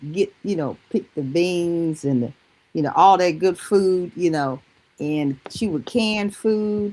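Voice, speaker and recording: Very slowly, a woman with a slight Southern US accent speaks at medium pitch with lively intonation. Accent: slight Southern country twang. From North Carolina, Greensboro. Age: 60s. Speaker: product user giving testimony. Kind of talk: testimony.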